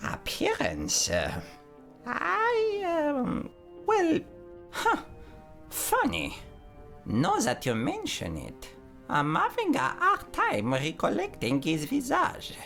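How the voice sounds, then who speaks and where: A man puts on a character voice at a very slow pace. Clear music plays in the background. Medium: machinima. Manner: formal, fussy.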